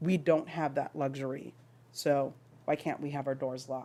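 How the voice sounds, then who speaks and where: The recording is very clean with a silent background as a woman speaks at a fairly slow pace with ordinary pitch variation. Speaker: parent speaking at public comment. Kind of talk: public comment at school board meeting.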